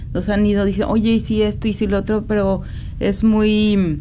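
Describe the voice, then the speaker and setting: A woman's voice is heard with audible room echo. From Mexico, San Luis Potosí. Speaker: maker of religious images. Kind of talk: radio interview. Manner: halting.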